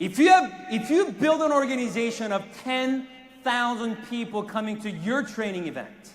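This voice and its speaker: Animated in tone and lively in intonation, the speaker goes at a moderate pace amid noticeable background noise and audible room echo. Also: man, extremely high pitch for a man. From South Korea. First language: Korean. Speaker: network marketing sales executive. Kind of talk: motivational speech. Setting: stage with audience.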